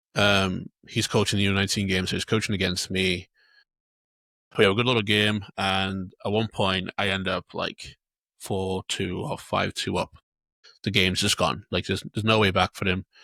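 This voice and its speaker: A man with a North Welsh accent, fairly low pitch, bright, sharp tone, monotone delivery and long, frequent pauses, in a dry, close, echo-free, very clean recording with a silent background. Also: moderate pace. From North Wales (Anglesey). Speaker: podcast co-host and youth football coach. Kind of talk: casual chat.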